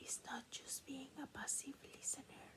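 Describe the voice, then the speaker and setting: A woman whispers. She has a Peruvian accent. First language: Spanish. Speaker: ASMR creator. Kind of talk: reading aloud; casual chat. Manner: soft-spoken; halting.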